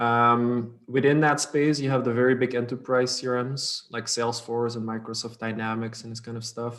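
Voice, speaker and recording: A man with a Dutch accent, medium pitch and monotone, flat intonation, at a moderate pace with hardly any pauses. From Belgium (Dutch-speaking north). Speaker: startup co-founder. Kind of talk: interview. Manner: fluent conversational with fillers.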